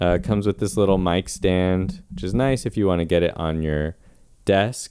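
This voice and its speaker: Very deep, low male pitch with ordinary variation across it. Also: moderate pace. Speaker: YouTuber reviewing gear. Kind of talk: product review. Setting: small home room.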